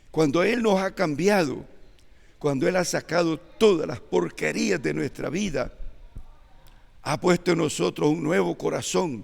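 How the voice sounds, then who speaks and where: Through noticeable background noise, a man with a fairly high voice and lively intonation speaks fairly slowly, with long, frequent pauses. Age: 80s+. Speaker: church elder preacher. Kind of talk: sermon.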